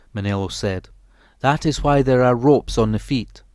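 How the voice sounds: The clip carries a natural reading voice. That voice continues from start to finish.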